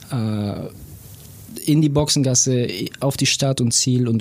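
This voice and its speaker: A man's medium-pitched voice at a fairly slow pace. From Bavarian Swabia (Bobingen near Augsburg). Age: 30s. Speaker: racing driver. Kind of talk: casual interview.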